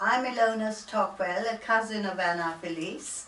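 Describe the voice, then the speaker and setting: At a fairly slow pace, a woman speaks with ordinary pitch variation. Audible room echo and noticeable background noise accompany her. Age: 70s. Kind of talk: casual introductions.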